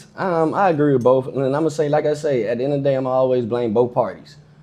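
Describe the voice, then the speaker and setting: Over noticeable background noise, a man speaks at a very fast pace. His voice sits fairly high in pitch. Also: hardly any pauses. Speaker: podcast co-host. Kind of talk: casual chat.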